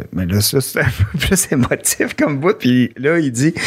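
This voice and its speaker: A man is speaking. His pace is very slow. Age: 40s. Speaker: comedian. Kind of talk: casual chat.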